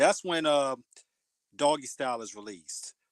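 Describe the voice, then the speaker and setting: Against a quiet background, a man with a normal speaking voice talks at a medium pitch and moderate pace, the sound dry and close with no echo. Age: 40s. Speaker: radio host. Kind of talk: casual interview chat. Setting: live online radio show.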